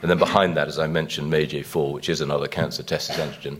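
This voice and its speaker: A man with a British accent talking at a very fast pace over noticeable background noise. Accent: British accent, noted by himself. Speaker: biotech company chief executive. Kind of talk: investor conference presentation. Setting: conference stage with audience. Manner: frequent hesitations and fillers; brisk pace.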